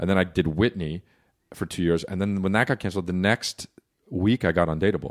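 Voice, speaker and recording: A man's very deep, low voice with a New Jersey accent at a fairly quick pace, in a very clean recording with a silent background and a dry, close sound with no echo. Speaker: comedian. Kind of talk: casual chat.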